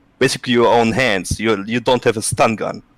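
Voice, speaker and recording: A man with a Russian accent talks at a fairly quick pace and medium pitch. The recording is very clean with a silent background, and the sound is dry and close with no echo. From Russia, Siberia. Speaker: ex-hunter and farmer. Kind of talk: live stream discussion. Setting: live stream call. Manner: halting.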